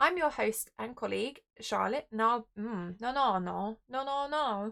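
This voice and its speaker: Her tone is bright and sharp, set at a fairly high pitch for a woman. She speaks at a fairly slow pace with ordinary pitch variation. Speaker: podcast host and childminder. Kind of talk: podcast bloopers, scripted intros with stumbles. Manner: halting, stumbling.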